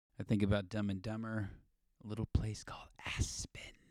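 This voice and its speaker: A man speaks in a Californian accent with an animated tone at a fairly quick pace. The sound is dry and close with no echo, on a very clean recording with a silent background. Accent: Californian American. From US West Coast, Los Angeles. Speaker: podcast host. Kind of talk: casual monologue.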